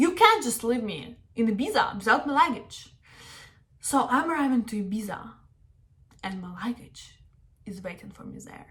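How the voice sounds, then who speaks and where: A woman with a Russian accent, fairly high pitch and lively intonation, at a moderate pace with long, frequent pauses and big swings in loudness. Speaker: travel vlogger. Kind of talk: casual storytime and travel tips to camera.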